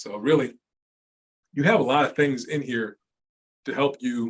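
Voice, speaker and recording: A man at a fairly quick pace. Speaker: accounting consultant. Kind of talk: webinar presentation. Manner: fast.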